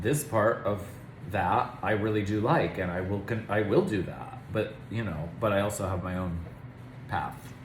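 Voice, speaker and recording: With an American accent and fairly low pitch, a man talks at a fairly slow pace amid noticeable background noise and audible room echo. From Pennsylvania. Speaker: performer. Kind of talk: casual chat.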